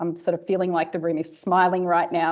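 A woman with an Australian accent at a fairly quick pace, over a quiet background. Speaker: cybersecurity industry executive; keynote speaker. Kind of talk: keynote speech; audience Q&A. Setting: conference stage with audience. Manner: animated. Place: office. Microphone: earbuds.

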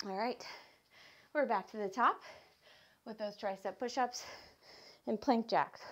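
The voice moves at a fairly slow pace. Its pitch varies in an ordinary way. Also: woman. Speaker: fitness instructor. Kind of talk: workout instruction. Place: home room.

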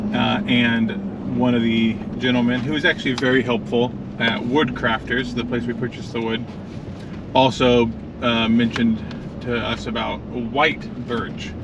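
Over loud background noise, a man talks at a moderate pace with ordinary pitch variation in a dry sound with no echo. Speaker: vlogger driving. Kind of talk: casual vlog chat. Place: car. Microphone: camera far.

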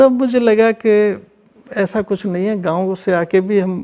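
A man with a high-pitched voice speaks at a fairly slow pace against a quiet background. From Rajasthan, Lalsot; Rajasthan. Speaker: artist; interviewee. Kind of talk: interview. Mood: warm, smiling, reflective. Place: home room. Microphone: lapel.

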